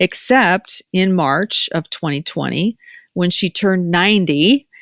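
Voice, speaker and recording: Fairly low-pitched woman with lively intonation and an animated tone, in a dry, close sound with no echo. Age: 60s. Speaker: podcast host and doctor. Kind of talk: casual chat.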